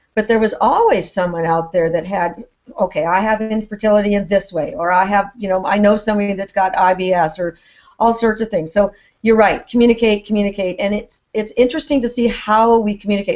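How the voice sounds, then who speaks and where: A woman's unremarkable speaking voice at medium pitch, fairly quick, with ordinary pitch variation. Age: 60s. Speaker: retired teacher and author. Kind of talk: casual interview chat.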